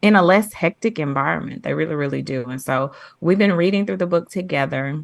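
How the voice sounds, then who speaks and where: Against a quiet background, a woman with a fairly low pitch and ordinary pitch variation talks in a plain, everyday voice. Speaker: podcast host. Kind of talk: casual podcast discussion.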